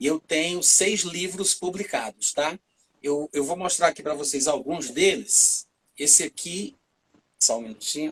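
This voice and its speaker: A man with an ordinary speaking voice talks at a fairly slow pace, his pitch fairly high with ordinary variation. The sound is dry and close, with no echo. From Brazil, Fortaleza, Ceará (Northeast). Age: 40s. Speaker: preacher and author. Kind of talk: casual chat on a church livestream.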